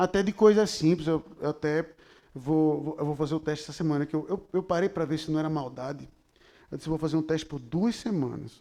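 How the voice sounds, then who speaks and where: Recorded very cleanly against a silent background, a man is talking. His tone is dark and mellow, with normal pitch movement. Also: fairly high pitch for a man, fairly quick pace. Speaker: pastor. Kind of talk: sermon. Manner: animated.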